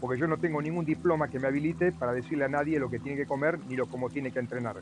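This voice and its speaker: Music plays in the background under a voice with lively intonation. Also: man. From Argentina. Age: 70s. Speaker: triathlete. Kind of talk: interview testimony.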